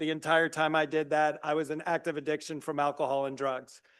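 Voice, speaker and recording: A man speaks at a fairly quick pace with a fairly high pitch. His intonation stays fairly even. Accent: Southern US. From US South, South Carolina (Greenville). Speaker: recovery program founder presenting to county committee. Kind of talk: presentation. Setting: public meeting room, live streamed. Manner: loud; fast.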